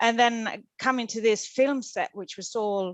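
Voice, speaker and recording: A woman talks with a Swedish accent. The background is quiet. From Sweden. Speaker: actress. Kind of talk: casual chat. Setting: video call. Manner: halting.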